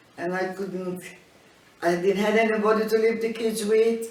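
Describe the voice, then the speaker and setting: In a room with audible echo and noticeable background noise, a woman talks in a flat, monotone way. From Malta. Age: 80s+. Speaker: elderly migrant interviewee. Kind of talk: life story interview. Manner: halting.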